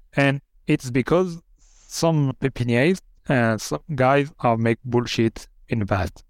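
A man speaks very slowly with a French accent, his loudness very even. The sound is dry and close with no echo, on a very clean recording with a silent background. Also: medium pitch for a man, lively intonation. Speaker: winemaker. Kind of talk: interview. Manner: halting.

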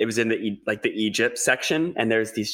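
With an Australian accent, a man speaks in a fairly low pitch and a bright, sharp tone, his intonation fairly even, on a very clean recording with a silent background. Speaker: podcast host. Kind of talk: casual chat.

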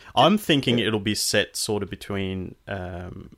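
With ordinary pitch variation and a fairly low pitch, a man speaks at a moderate pace in an unremarkable speaking voice on a very clean recording with a silent background. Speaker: podcast host. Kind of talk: casual chat.

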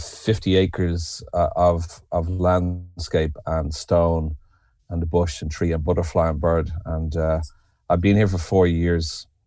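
A man with a Dublin accent speaks very slowly, his pitch very deep and low. The recording is very clean, with a silent background. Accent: Irish (Dublin). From Ireland, Dublin. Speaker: writer, poet and retreat leader. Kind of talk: podcast interview.

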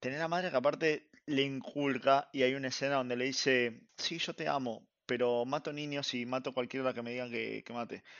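Speaking in a plain, everyday voice, a man talks at a moderate pace with a medium pitch and fairly even intonation. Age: 30s. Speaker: anime podcast guest. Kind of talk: casual chat.

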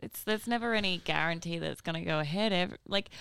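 A woman with an Australian accent speaks at a very fast pace, her tone bright and sharp with ordinary pitch variation. The recording is very clean, with a silent background. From New South Wales, Northern Rivers. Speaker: musician. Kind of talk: casual chat.

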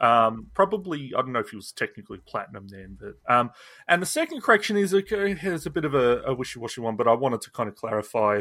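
In a very clean recording with a silent background, a man speaks at a medium pitch and a very fast pace. His pitch swings very widely and his loudness swings a lot. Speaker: podcast co-host. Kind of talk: casual chat.

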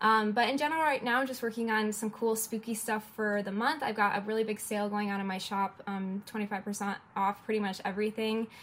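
A woman talks at a fairly quick pace with hardly any pauses, in a plain, everyday voice. Her pitch is fairly high and her intonation fairly even. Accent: American. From Detroit, US. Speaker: illustrator. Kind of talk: interview.

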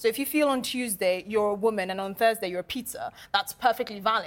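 With a British accent, a woman talks at a fairly quick pace. Her pitch is fairly high. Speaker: panel commentator. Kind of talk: TV panel debate.

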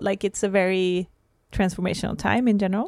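In a Swedish accent, a woman speaks at medium pitch on a very clean recording with a silent background. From Sweden. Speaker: podcast host and holistic coach. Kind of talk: casual conversational podcast chat.

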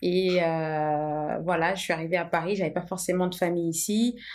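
The recording is very clean, with a silent background. A woman speaks in an ordinary speaking voice at a fairly low pitch and a moderate pace. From Portugal (Lisbon), moved to France at 13. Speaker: entrepreneur, tea brand co-founder. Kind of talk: casual conversation, personal story.

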